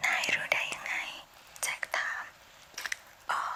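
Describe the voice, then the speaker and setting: Noticeable background noise fills the clip. A woman whispers through it. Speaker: ASMR creator. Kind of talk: bedtime story reading.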